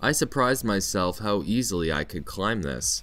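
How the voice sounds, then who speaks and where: Over background music, a man with a very deep, low pitch talks at a moderate pace with lively intonation. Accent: Canadian. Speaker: English teacher in Japan, event organizer. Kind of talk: scripted narration.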